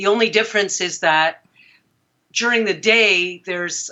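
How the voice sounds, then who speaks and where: A woman's unremarkable speaking voice, fairly high in pitch, at a fairly slow pace. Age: 60s. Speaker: dream analyst. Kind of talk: interview.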